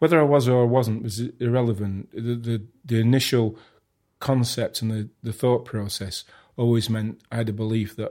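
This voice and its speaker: In a very clean recording with a silent background, a man with a Sheffield accent speaks at a moderate pace and medium pitch, his tone dark and mellow and his intonation fairly even. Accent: Yorkshire (Sheffield). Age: 50s. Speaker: artist. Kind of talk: casual chat. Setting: at home.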